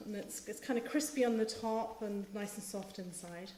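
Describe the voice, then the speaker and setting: In a Northern Irish accent, the somewhat breathy voice moves at a moderate pace with audible room echo. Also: woman. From Northern Ireland. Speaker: cookbook author. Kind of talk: cooking demonstration. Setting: live stream with in-studio host. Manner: hesitant, many ums.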